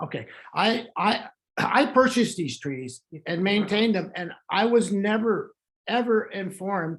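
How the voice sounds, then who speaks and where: With lively intonation and a high pitch, a man talks fairly slowly. The background is quiet. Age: 70s. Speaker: property owner giving testimony. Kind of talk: testimony. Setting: video call. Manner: halting.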